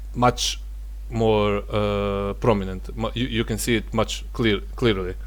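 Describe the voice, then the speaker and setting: A man speaking at a very slow pace with audible room echo. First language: not English. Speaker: gaming tech youtuber. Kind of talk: benchmark review talk. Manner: halting, many fillers.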